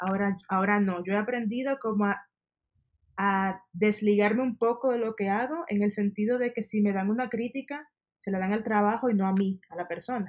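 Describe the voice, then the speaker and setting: A plain, everyday voice from a woman, medium in pitch with ordinary pitch variation at a moderate pace. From Dominican Republic. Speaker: service designer. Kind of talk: interview.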